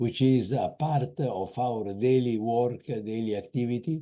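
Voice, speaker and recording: This man talks at a medium pitch with a dark, mellow tone and ordinary pitch variation. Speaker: webinar moderator. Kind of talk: formal introduction. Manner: halting.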